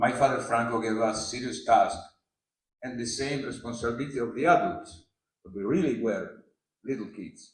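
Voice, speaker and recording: A man with an Italian accent, medium pitch, ordinary pitch variation and a moderate pace, with audible room echo. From Italy. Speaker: yacht skipper. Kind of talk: prepared speech read aloud. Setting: press conference with audience. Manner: halting.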